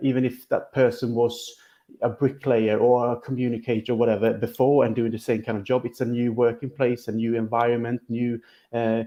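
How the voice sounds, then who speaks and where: A man with a Swedish accent, moderate pace and monotone, flat intonation. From Sweden. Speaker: football podcast co-host. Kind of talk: casual chat.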